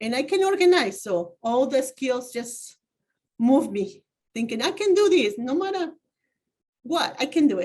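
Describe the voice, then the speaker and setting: A woman with a Spanish accent speaks at a high pitch with very wide pitch swings and long, frequent pauses. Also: fairly slow pace. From Mexico, Oaxaca. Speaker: community advocate. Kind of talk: interview. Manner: halting.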